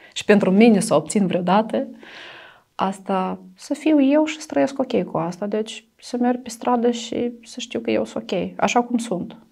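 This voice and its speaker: In a Russian accent, a woman speaks at a fairly slow pace with a dark, mellow tone, vocal fry and lively intonation over a quiet background. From Transnistria, Moldova; Moldova. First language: Russian (speaking Romanian). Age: 30s. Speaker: domestic violence survivor; interviewee. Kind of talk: interview testimony. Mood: somber, recounting past violence. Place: studio. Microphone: lapel.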